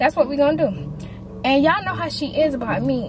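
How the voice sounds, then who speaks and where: Background music accompanies a woman's voice. She speaks at a moderate pace. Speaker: family vlogger. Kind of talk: casual vlog chat. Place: car.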